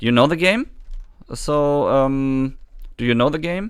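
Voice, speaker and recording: A man speaks with a German accent in a fairly high voice. His intonation is lively. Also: very clean recording, silent background. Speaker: gaming streamer. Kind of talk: live stream chat. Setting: live stream. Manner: halting.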